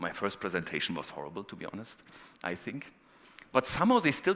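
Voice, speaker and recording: A man with a German accent races at a very fast pace, his bright, sharp tone showing vocal fry and very wide pitch swings. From northeast Germany. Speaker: professor. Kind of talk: conference talk.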